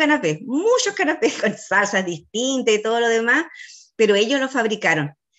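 A woman's fairly high, lively voice in a Chilean accent, at a fairly quick pace. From Chile, Chiloé (Ancud). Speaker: school teacher. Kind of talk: online seminar presentation.

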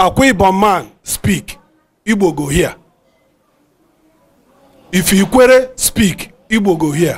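A man talks in a high voice. His pitch varies in an ordinary way. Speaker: elder speaking at a panel meeting. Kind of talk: speech to an audience. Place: home room. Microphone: handheld.

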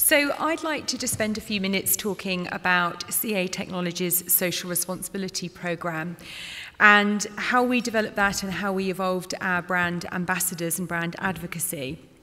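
The speaker is a woman. She keeps a moderate pace with ordinary pitch variation. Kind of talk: conference presentation. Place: hall. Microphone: podium.

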